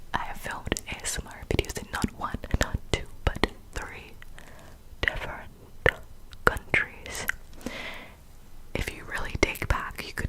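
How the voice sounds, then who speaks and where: With noticeable background noise behind it, whispering goes at a fairly slow pace and leaves long, frequent pauses. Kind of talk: ASMR whispered secret-telling ramble. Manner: close cupped whisper.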